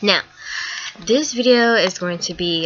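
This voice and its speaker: A woman talks in a Southern US accent. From US South, North Carolina. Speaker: vlogger. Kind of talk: opinion vlog. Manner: hesitant, many ums.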